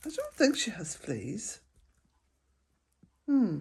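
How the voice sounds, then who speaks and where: The recording of this woman is very clean, with a completely silent background. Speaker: vlogger, smallholder. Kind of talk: casual vlog talk to camera. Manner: slow.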